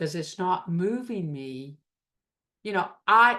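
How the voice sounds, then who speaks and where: With a Southern US accent, a woman speaks in a bright, sharp tone. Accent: US South. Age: 60s. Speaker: recovery group leader. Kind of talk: talk to a recovery group.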